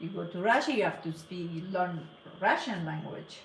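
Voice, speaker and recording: A woman speaks with a Persian accent. Noticeable background noise and audible room echo are present. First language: Farsi. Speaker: cake decorator. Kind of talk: casual live stream chat. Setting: live stream. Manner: halting.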